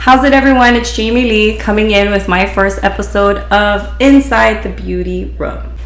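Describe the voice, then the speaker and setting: Audible room echo and noticeable background noise, at a moderate pace. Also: woman. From Hawaii, Honolulu. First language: Hawaiian Pidgin. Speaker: beautician and podcast host. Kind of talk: casual podcast storytelling. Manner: casual, conversational.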